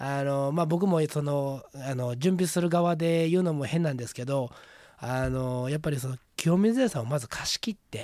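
A man with a dark, mellow tone and a fairly high pitch speaks at a moderate pace with ordinary pitch variation. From Hyogo, Japan (Kawanishi). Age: 30s. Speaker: plant hunter. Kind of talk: radio interview.

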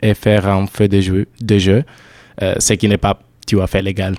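A man's dark, mellow, fairly low voice, fairly slow in pace, with a dry, close sound and no echo. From southern Italy. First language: Italian (speaking French). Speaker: European volunteer. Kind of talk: casual radio chat.

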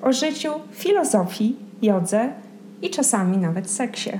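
Over noticeable background noise and audible room echo, a woman with a fairly high voice talks at a very slow pace, her pitch swinging very widely. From Poland. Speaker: podcast host. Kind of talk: scripted narration; casual chat.

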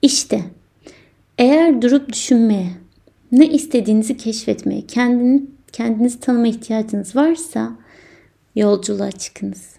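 A woman with a fairly high pitch speaks in a dark, mellow tone at a moderate pace. Her speech has long, frequent pauses. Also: ordinary pitch variation. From Turkey, inner Aegean. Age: 20s. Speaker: podcast host. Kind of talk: personal monologue.

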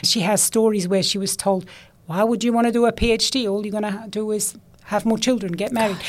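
Speaking very fast with a German accent, a woman keeps a fairly high pitch and fairly even intonation. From Switzerland. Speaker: scientist, computational chemist. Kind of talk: casual interview chat. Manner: laughs often, conversational.

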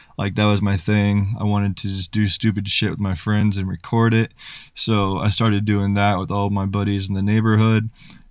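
On a very clean recording with a silent background, the speaker uses a monotone, flat intonation at a moderate pace with an American accent. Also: man. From US Midwest. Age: 20s. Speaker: YouTuber and prank video creator. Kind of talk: casual chat.

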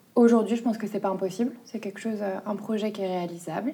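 A woman is talking here. She keeps her intonation fairly even. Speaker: junior notary office employee. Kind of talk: documentary interview. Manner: hesitant, many filler sounds.

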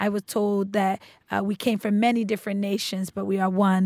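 A woman with a plain, everyday voice at medium pitch is heard on a very clean recording with a silent background. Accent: American. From Roxbury, Boston, US. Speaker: alumna. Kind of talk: casual chat.

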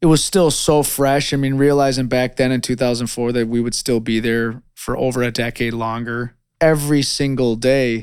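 With an American accent, a man speaks at a moderate pace in an ordinary speaking voice of medium pitch and fairly even intonation. The recording is very clean, with a silent background. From US Midwest, rural northern Illinois. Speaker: war veteran. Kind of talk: oral history testimony.

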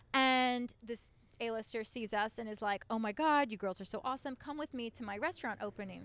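Delivered at a fairly quick pace, a normal speaking voice carries ordinary pitch variation. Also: woman, fairly high pitch for a woman. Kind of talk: casual interview chat.

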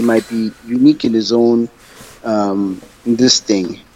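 Noticeable background noise surrounds a man's voice. He speaks at a fairly low pitch with fairly even intonation. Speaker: podcast co-host. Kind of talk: casual chat.

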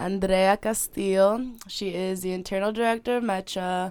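A woman with a plain, everyday voice talks at medium pitch in an American accent, her intonation fairly even, on a very clean recording with a silent background. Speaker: university student. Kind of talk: casual chat. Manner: casual, filler-heavy speech.

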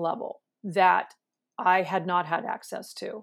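In a very clean recording with a silent background, a woman speaks with a Californian accent. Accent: Californian American. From US West Coast, San Francisco Bay Area. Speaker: clinical psychologist. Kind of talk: interview.

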